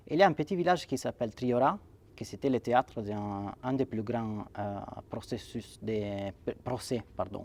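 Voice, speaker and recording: With an Italian accent, a man talks at a fairly slow pace in a medium pitch, his intonation lively. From Italy (Sanremo, Liguria). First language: Italian (speaking French). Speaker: writer and poet. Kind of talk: interview. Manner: halting, many repetitions and fillers.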